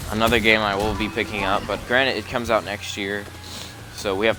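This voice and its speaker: A man talking at a fairly quick pace over music in the background. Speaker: gaming commentator. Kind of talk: casual commentary monologue. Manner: halting, with filler words.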